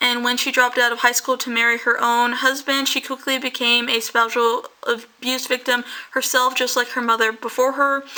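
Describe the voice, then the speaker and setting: This woman's voice is high in pitch and delivered in a flat monotone. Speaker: YouTuber, true crime narrator. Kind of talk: casual true crime storytelling. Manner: fast; halting, self-correcting.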